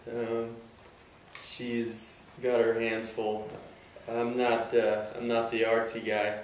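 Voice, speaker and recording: Speaking at a very slow pace with long, frequent pauses, a man of medium pitch keeps a monotone, flat intonation over noticeable background noise and audible room echo. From rural area. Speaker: groom-to-be in wedding casting interview. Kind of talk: casual interview.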